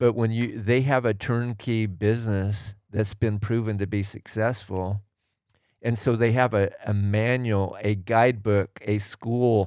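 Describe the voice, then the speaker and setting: At a fairly slow pace, a man speaks in a fairly low voice with monotone, flat intonation. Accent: General American. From Oregon, US Pacific Northwest. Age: 60s. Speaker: retired tradesman, host's father. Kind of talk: casual chat.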